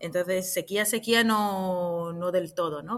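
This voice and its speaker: A woman speaks in a normal speaking voice, medium in pitch, with fairly even intonation at a fairly slow pace. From Israel. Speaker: actress and clown. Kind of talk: interview.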